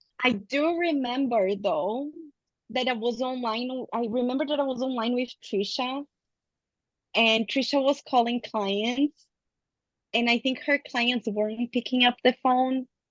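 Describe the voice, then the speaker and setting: With a dry, close sound and no echo, a woman with a non-native accent speaks at a fairly slow pace in a high pitch. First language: not English. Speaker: counselling graduate student. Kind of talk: casual chat.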